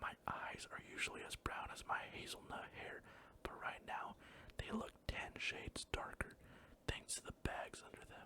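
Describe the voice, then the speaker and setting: Someone is whispering at a moderate pace. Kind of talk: audiobook-style reading aloud of a romance novel.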